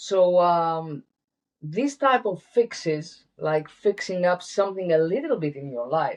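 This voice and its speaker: Against a quiet background, a speaker with a Greek accent talks at a very slow pace, the pitch swinging very widely. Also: woman. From Greece. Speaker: wellness entrepreneur. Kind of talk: interview.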